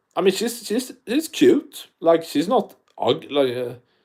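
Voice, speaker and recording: Speaking at a very slow pace, a man has a strong non-native accent. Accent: thick non-native. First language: not English. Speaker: MMA YouTuber. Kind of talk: live stream chat. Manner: animated; quieter than usual.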